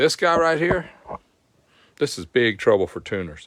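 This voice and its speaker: Southern US accent from a man, very clean recording, silent background. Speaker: motorcycle performance tech host. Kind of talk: live stream tech tutorial. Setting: live stream.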